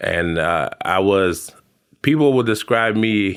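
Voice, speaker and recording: In a very clean recording with a silent background, a man with an American accent speaks at a very slow pace and fairly low pitch. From Bay Area, California (Hayward). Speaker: podcast guest. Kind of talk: casual chat. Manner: casual, lots of fillers.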